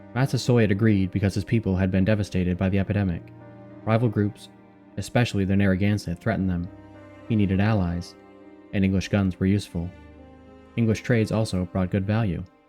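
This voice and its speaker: Over music in the background, a man with a fairly low pitch talks at a very fast pace with fairly even intonation and long, frequent pauses. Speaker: history narrator. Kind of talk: sleep story. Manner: calm, grounded documentary tone.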